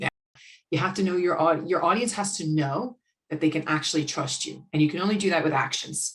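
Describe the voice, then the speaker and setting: A woman with an American accent, a normal speaking voice, fairly low in pitch, fairly quick, with ordinary pitch variation. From United States. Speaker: business owner and sales and marketing consultant. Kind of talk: podcast interview conversation.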